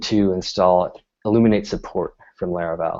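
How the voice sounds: Ordinary pitch variation and a dark, mellow tone from a man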